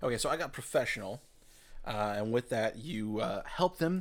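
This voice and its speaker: A man talks at a fairly quick pace with lively intonation. It's an ordinary speaking voice. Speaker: podcast panelist, game player. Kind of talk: casual chat. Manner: joking, rambling, playful.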